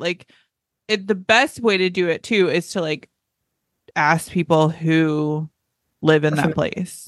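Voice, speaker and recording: A woman with an American accent speaks against a quiet background. The sound is dry and close, with no echo. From US South, North Carolina. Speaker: travel podcast host. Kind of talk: casual chat.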